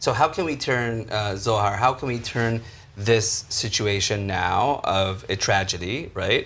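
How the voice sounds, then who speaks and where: A man at a medium pitch, fairly slow in pace, with ordinary pitch variation. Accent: American. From Israel. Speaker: panel moderator. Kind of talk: panel discussion.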